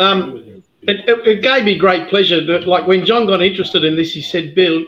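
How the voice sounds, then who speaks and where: A man with an Australian accent at a moderate pace, with ordinary pitch variation. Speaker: whisky distiller. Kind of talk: casual chat.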